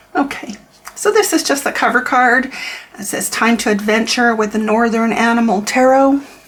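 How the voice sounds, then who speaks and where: Against noticeable background noise, a woman with a fairly high pitch talks at a moderate pace with ordinary pitch variation. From Canada. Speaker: tarot reader and deck reviewer. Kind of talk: product review flip-through. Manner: casual, with frequent repetitions and fillers.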